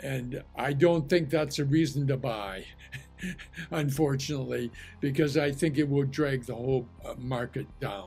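Male speech at a moderate pace with ordinary pitch variation, faint music behind it. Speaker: market commentator. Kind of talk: commentary. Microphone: webcam.

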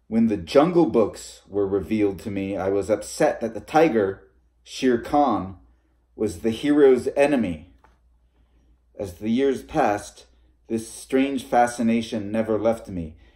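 A man's voice has a dark, mellow tone. The background is quiet. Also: fairly slow pace. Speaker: reader of fiction. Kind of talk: reading aloud a short story. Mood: calm narrative. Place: home room. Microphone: phone near.

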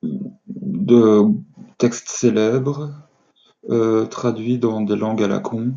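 Over a quiet background, a man with a medium-pitched voice speaks at a very slow pace with long, frequent pauses and ordinary pitch variation. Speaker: amateur reader. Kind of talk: casual talk to camera. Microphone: webcam.

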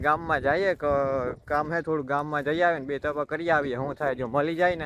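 A man with a plain, everyday voice speaks at a fairly high pitch with fairly even intonation. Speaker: village vlogger. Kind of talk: casual vlog narration. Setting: village farm and street. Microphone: echo in empty room.

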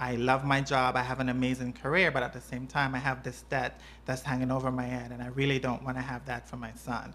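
Speaking at a fairly quick pace, a woman with a very deep, low pitch and vocal fry keeps a monotone, flat intonation. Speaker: nurse. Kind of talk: personal testimony. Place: home room.

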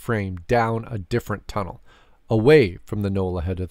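A stretch of plain reading aloud

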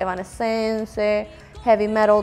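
A woman with a Cuban accent, speaking fairly slowly, with faint music in the background. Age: 20s. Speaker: gospel singer. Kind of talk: interview answer. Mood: reflective, personal testimony. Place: home room. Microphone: lapel.

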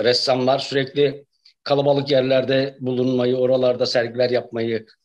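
In a quiet background, a man talks at a fairly slow speed. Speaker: guest. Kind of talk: interview answer. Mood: relaxed, reminiscing. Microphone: video call.

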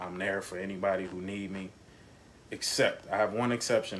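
A man talks at a fairly quick pace with fairly even intonation. There is noticeable background noise. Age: 30s. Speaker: father. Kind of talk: casual chat.

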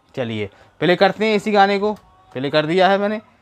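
A man's high voice, clear and smooth in tone, with lively intonation, a fairly quick pace and faint music in the background.

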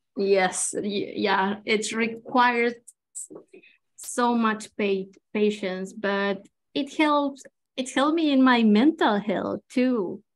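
A woman with a Chilean accent speaks in a fairly high voice at a very slow pace, with ordinary pitch variation and long, frequent pauses. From Chile, Santiago. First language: Spanish. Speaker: watercolor artist and illustrator; guest. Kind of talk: live painting demonstration. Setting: video call. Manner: halting, many fillers. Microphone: video call.

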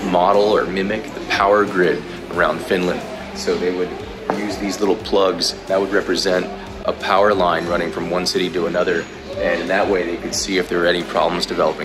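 Backed by clear music in the background, a man talks at a fairly quick pace. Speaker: travel vlogger. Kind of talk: casual vlog commentary. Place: hall. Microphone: phone near.

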